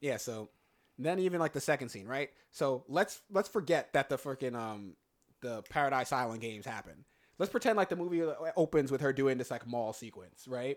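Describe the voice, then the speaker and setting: In a very clean recording with a silent background, an ordinary speaking voice moves at a fairly quick pace with lively intonation. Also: man, fairly high pitch for a man. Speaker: podcast host. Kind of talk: casual chat.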